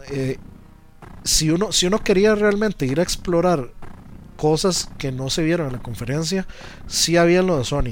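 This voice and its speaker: With noticeable background noise behind him, a man with a Costa Rican accent speaks at a moderate pace in a high voice with lively intonation and long, frequent pauses. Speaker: video game commentator. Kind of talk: casual chat.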